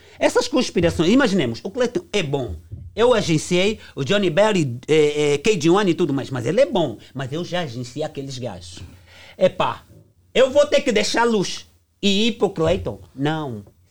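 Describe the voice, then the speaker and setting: Very wide pitch swings in a man's high voice, delivered at a moderate pace. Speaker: music producer. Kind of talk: heated debate.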